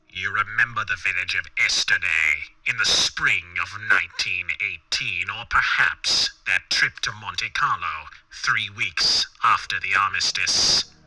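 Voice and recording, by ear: In a put-on character voice, a man whispers at a fairly slow pace, breathy and hissing. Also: few pauses.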